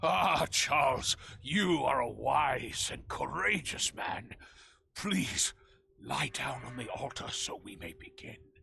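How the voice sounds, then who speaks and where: A man puts on a raspy character voice at a medium pitch. He goes at a fairly slow pace with big swings in loudness. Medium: video game. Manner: formal, grandiose.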